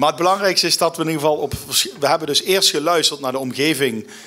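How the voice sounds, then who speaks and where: A bright, sharp tone marks this man's speech. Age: 40s. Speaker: local government alderman; guest. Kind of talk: interview. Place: stage. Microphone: podium.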